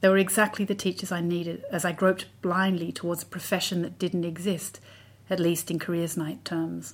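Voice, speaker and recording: A woman with an Australian accent speaks at a fairly quick pace in a fairly low voice. Her delivery is flat and monotone, with vocal fry. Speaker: writer. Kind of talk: scripted narration. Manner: measured.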